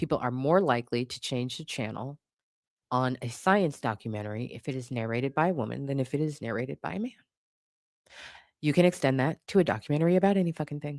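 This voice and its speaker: In a very clean recording with a silent background and a dry, close sound with no echo, a woman with an American accent speaks very fast in a very deep, low pitch. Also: lively intonation. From California. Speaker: live streamer. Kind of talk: casual live-stream chat.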